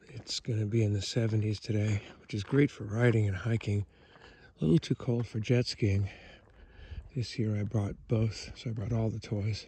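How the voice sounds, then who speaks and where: A soft-spoken man talks at a moderate pace with a fairly low pitch and fairly even intonation. His voice is somewhat breathy, with a dark, mellow tone. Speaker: camping vlogger. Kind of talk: casual walking vlog tour. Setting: outdoors at a campground. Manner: soft-spoken, talking quietly.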